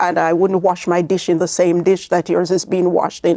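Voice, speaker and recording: A woman speaks in a Jamaican accent at a medium pitch and moderate pace, with a dark, mellow tone. The recording is very clean with a silent background and a dry, close sound with no echo. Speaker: author and speaker with albinism. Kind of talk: interview testimony. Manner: halting.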